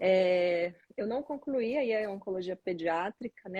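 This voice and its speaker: The speaker talks in a Pará accent at a moderate pace with ordinary pitch variation. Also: woman. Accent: Pará accent, noticeable. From Brazil, Pará. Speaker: neonatologist. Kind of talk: live stream interview.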